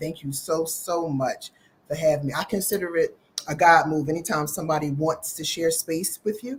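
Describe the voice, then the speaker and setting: Somewhat breathy, a woman with an American accent talks at a moderate pace in a fairly low pitch with ordinary pitch variation. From US Northeast, Philadelphia. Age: 60s. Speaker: vegan chef. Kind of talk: casual interview chat.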